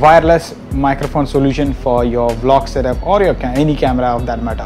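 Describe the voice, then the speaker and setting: Music plays faintly behind. The voice belongs to a man. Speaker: vlogger. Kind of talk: product review. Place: office. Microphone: lapel.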